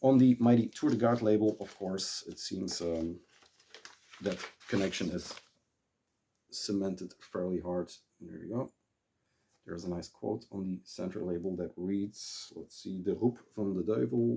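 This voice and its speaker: Speaking at a moderate pace in a Dutch accent, a man with a very deep, low pitch shows ordinary pitch variation, big swings in loudness, and long, frequent pauses. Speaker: vinyl collector and YouTuber. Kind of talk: casual monologue about record collection. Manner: halting, many fillers.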